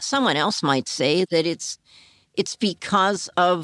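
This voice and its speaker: An ordinary speaking voice moves at a fairly slow pace, with a dry, close sound with no echo on a very clean recording with a silent background. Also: woman. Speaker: author and co-host. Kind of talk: narration and interview. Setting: her apartment, on location.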